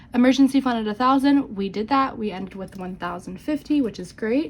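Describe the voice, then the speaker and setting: The woman's voice is somewhat breathy, with ordinary pitch variation. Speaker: budgeting vlogger. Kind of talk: casual vlog talk. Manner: halting.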